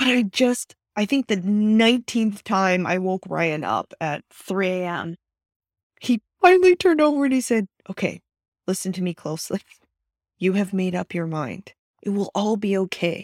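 A woman with an American accent speaks in an ordinary speaking voice with ordinary pitch variation. The recording is very clean, dry and close with no echo, and the background is silent. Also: medium pitch for a woman, moderate pace. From Austin, Texas. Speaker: tech founder and investor. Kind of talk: interview.

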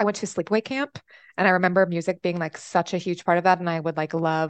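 A woman with an American accent speaks in a plain, everyday voice, fairly low in pitch with fairly even intonation. The sound is dry and close with no echo, over a quiet background. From Texas, via upstate New York. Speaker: arts administrator and singer. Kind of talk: casual chat.

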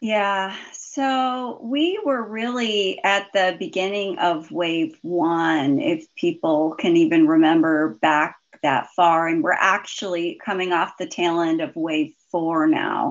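Very slowly and with lively intonation, a woman speaks in a fairly low voice with an American accent. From US, southeast Idaho. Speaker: physician. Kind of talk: interview.

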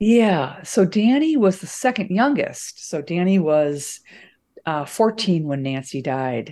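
Speaking at a very slow pace, a woman has a medium pitch and a dark, mellow tone with very wide pitch swings. The recording is very clean, with a silent background. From US Midwest, suburban Chicago. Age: 60s. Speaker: investigative reporter and journalism professor. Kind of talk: interview.

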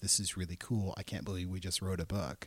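A man with an American accent, a fairly low pitch and a somewhat breathy voice, on a very clean recording with a silent background. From Portland, Oregon. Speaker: entrepreneur and children's book publisher. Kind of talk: casual interview.

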